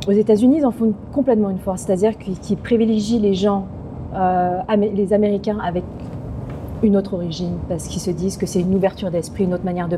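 Very fast speech from a woman at medium pitch, with fairly even intonation and noticeable background noise. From France, Paris suburbs. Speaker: actress. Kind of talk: casual interview. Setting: restaurant.

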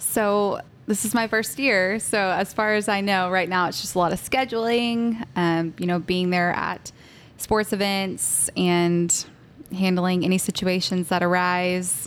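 In an American accent, a woman with an ordinary speaking voice talks at a fairly slow pace, medium in pitch, with ordinary pitch variation. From Texas. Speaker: college ministry leader. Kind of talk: casual chat.

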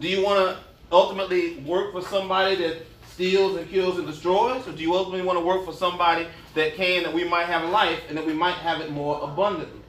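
Amid noticeable background noise and audible room echo, a man with a high pitch speaks at a very fast pace and with fairly even intonation. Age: 50s. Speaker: pastor. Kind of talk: sermon.

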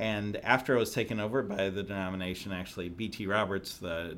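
Audible room echo surrounds a man with an American accent whose very deep, low voice keeps a fairly even intonation. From US Midwest, southern Illinois near St. Louis. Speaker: magazine editor. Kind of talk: interview.

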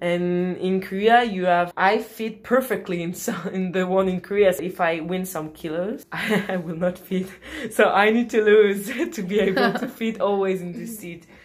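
A woman with a French accent talks at a moderate pace and medium pitch, with fairly even intonation, hardly any pauses, big swings in loudness and noticeable background noise. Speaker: podcast host. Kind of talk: casual chat.

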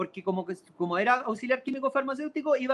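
A man with a Chilean accent talks fairly quickly at an extremely high pitch. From Chile, Santiago. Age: 30s. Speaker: composer and keyboardist. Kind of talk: interview. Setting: video call from a parked car.

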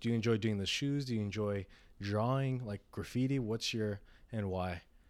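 A man's medium-pitched voice, an ordinary speaking voice, with fairly even intonation at a moderate pace, on a very clean recording with a silent background. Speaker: podcast host. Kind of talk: casual interview chat.

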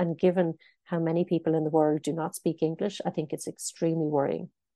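Talking at a very fast pace, a woman with an Irish accent uses a fairly low pitch, a dark, mellow tone and monotone, flat intonation against a quiet background. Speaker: news editor. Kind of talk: interview.

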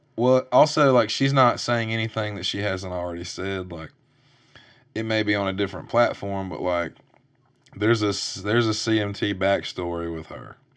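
This is a man with an ordinary speaking voice. He talks at a moderate pace in a fairly low pitch. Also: ordinary pitch variation. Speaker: podcast host and songwriter. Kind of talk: casual chat.

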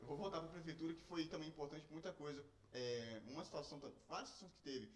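Over noticeable background noise, a man with a fairly high pitch talks at a very fast pace with fairly even intonation and long, frequent pauses. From Espírito Santo, Brazil (moved from São Paulo at six). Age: 20s. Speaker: youtuber. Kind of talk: casual chat. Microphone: poor microphone quality.

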